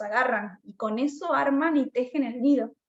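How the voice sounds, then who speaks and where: The woman's voice is high, with fairly even intonation. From Argentina, Buenos Aires province. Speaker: mycologist researcher. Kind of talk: Q&A after online talk.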